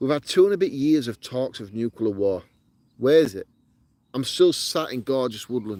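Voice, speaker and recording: A man with a strong northern English accent has a dark, mellow tone and lively intonation. The sound is dry and close, with no echo. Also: medium pitch for a man, moderate pace. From northern England, Yorkshire. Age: 40s. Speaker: outdoor camping vlogger. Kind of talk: live stream chat, reading comments. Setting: outdoors in woodland. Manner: animated.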